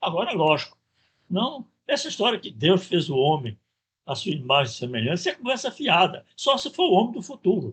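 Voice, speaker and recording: A man's high pitch with very wide pitch swings at a moderate pace. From Pernambuco, Brazil (Vitória de Santo Antão). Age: 70s. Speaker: professor. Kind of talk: lecture.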